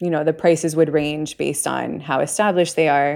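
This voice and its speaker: A woman's very deep, low voice with vocal fry and monotone, flat intonation, at a fairly quick pace, in a very clean recording with a silent background. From Puerto Rico. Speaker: art advisor. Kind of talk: casual interview chat.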